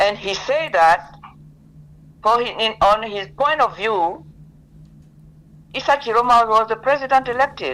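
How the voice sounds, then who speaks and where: Over noticeable background noise, a woman speaks at a fairly high pitch. Her intonation is lively and her pace fairly slow. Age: 80s+. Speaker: lawyer. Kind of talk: interview.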